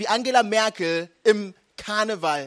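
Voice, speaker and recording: High pitch from a male speaker, with normal movement in pitch. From Germany, Nuremberg. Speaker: pastor. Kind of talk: sermon.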